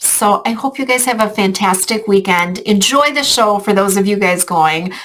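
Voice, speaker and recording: With an unremarkable speaking voice, a woman talks at medium pitch with ordinary pitch variation on a very clean recording with a silent background. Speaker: travel group organizer. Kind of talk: casual video update to travel group. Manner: filler-heavy, informal.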